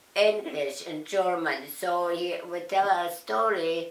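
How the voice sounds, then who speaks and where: A woman speaks very slowly with a Russian accent. Noticeable background noise runs underneath. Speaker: Nazi concentration camp survivor. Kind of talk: interview answer.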